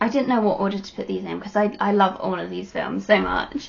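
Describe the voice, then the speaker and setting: This woman's voice has a somewhat breathy quality. She talks fairly quickly. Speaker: YouTuber reviewing films. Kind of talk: casual vlog chat. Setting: webcam recording at home. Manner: casual, rambling with fillers.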